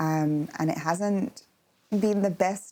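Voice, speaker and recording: Speaking with a London accent, a woman uses a fairly low pitch and ordinary pitch variation. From London, England. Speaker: holistic therapist. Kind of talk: interview.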